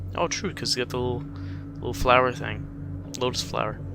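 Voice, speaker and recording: A man with ordinary pitch variation talks at a moderate pace amid noticeable background noise. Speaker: gaming streamer. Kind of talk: let's play commentary. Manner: halting, stumbling while reading aloud.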